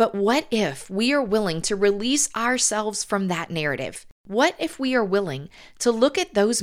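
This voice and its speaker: A woman speaks with a Southern US accent, her tone warm and her intonation lively. The recording is very clean, with a silent background. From US South. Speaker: podcast host and author. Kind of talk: podcast monologue with faith-based encouragement. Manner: warm, encouraging.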